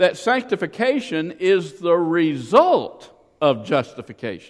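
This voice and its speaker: A man's high-pitched voice with very wide pitch swings, in a Southern US accent. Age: 60s. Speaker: pastor. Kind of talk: sermon. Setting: church.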